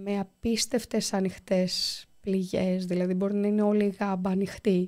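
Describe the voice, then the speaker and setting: A woman of medium pitch speaks in a dark, mellow tone with monotone, flat intonation against a quiet background. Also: fairly slow pace. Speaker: volunteer anaesthesiologist doctor; guest. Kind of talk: interview. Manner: halting. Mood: serious, calm recounting. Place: studio. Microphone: studio mic.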